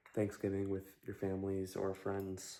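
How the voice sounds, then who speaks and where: Soft-spoken, a man talks in a fairly low pitch. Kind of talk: ASMR rambling chat about fragrances, soft-spoken. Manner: soft-spoken, rambling, casual.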